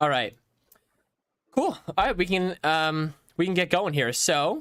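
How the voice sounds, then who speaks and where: High-pitched male voice with lively intonation. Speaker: blockchain coding teacher and streamer. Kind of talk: live-streamed coding workshop. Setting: live stream. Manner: fast.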